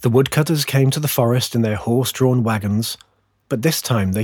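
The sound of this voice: An unforced reading voice shows ordinary pitch variation, with a quiet background behind it.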